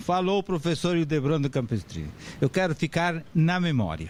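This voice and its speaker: A man is speaking. His intonation is lively. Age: 70s. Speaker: professor and author on legal writing. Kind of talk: lecture.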